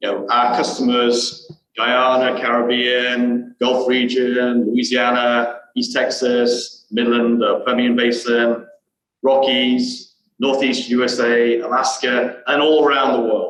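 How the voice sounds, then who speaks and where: A man's medium-pitched voice in a British accent, very slow and flat, monotone in intonation, with very even loudness. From England, Birmingham. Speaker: geoscientist, company director. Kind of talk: interview. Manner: halting, many fillers.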